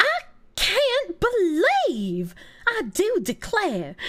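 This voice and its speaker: Speaking very slowly in a put-on character voice, a female-sounding speaker uses an extremely high pitch. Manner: pearl-clutching, dramatic.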